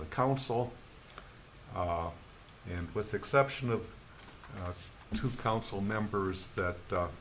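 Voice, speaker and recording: In a room with audible echo and noticeable background noise, a man speaks fairly slowly at a fairly low pitch with ordinary pitch variation. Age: 70s. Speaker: planning commission member. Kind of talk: public meeting remarks.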